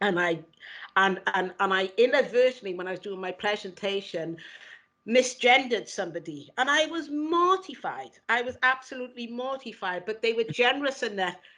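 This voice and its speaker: Against a quiet background, a woman with a strong Welsh accent speaks at a moderate pace in a bright, sharp, fairly high voice with lively intonation. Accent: Welsh, heavy. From Wales, Cardiff. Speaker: equality and diversity lead. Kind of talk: interview conversation. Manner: repeats words often, halting.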